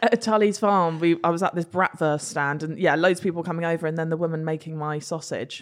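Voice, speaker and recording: A woman speaks at a very fast pace. Her fairly low voice keeps fairly even intonation. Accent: English. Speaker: social media influencer. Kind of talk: casual chat.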